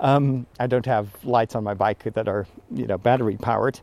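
In a Dutch accent, a man speaks at a moderate pace with a dark, mellow tone. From Netherlands. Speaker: priest. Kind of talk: casual monologue. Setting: outdoors. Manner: animated; pitch rises when excited.

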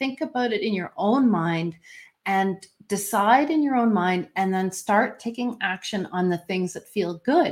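A woman with an unremarkable speaking voice and a Canadian accent, medium in pitch, fairly slow, with lively intonation. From Canada. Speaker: intuitive coach. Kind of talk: casual interview chat.

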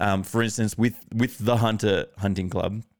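The speaker uses an Australian accent at a moderate pace with ordinary pitch variation, in a very clean recording with a silent background. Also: man. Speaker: podcast host. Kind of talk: casual interview conversation.

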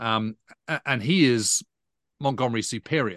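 The man's tone is bright and sharp, with ordinary pitch variation. The background is quiet. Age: 50s. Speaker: historian. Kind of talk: interview. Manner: halting.

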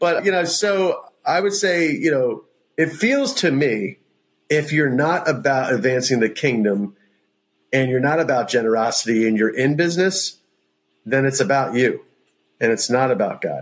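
Here is a man with a plain, everyday voice and fairly high pitch. His delivery has lively intonation, a moderate pace and very even loudness. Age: 40s. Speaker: pastor and entrepreneur. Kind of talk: interview about faith.

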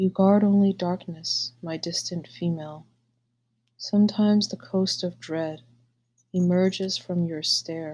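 Her voice is somewhat breathy and fairly low for a woman, with ordinary pitch variation. She talks at a fairly slow pace. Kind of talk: poem reading, unhurried and wistful, after a casual chatty intro. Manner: slow, soft, measured and pensive; halting, hesitant in the casual intro.

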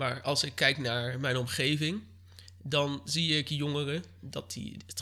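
A man's fairly high, bright and sharp voice with vocal fry and ordinary pitch variation, in a very clean recording with a silent background. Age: 20s. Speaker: local political candidate. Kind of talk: interview. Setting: living room of his mother's home.

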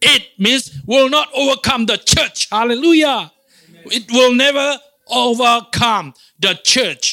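A man projects a raised voice at an extremely high pitch, bright and sharp in tone, moving at a fairly slow pace with big swings in loudness. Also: ordinary pitch variation. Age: 50s. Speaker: pastor. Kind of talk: sermon. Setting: church.

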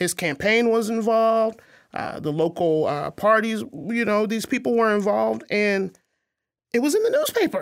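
An ordinary speaking voice from a woman, fairly high in pitch, at a moderate pace in a very clean recording with a silent background. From Arkansas, US South. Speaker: author, speaker and activist, former journalist. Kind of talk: interview conversation.

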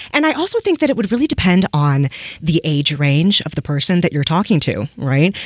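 A woman's fairly low, lively voice with an American accent, a fairly quick pace, a dry, close sound with no echo, and a normal speaking voice. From US Southwest. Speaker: podcast host and fan fiction writer. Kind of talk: casual interview chat.

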